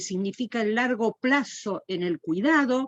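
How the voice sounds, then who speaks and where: Her pitch fairly high, a woman swings through very wide pitch changes in a dry, close sound with no echo. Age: 70s. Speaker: panelist, chair of an older adults commission. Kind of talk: panel discussion. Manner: halting, with many fillers and repetitions.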